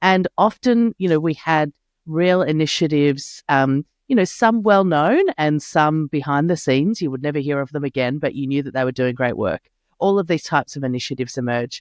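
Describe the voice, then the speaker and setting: Speaking with an Australian accent at a fairly quick pace, a woman uses a very deep, low pitch and lively intonation, in a dry, close sound with no echo. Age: middle-aged. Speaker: sustainability consultant. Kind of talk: interview. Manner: halting, many fillers.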